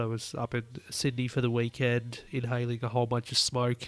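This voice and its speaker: A man speaks in an Australian accent at a medium pitch. His pace is moderate. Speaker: motorsport podcast host. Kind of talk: solo podcast commentary.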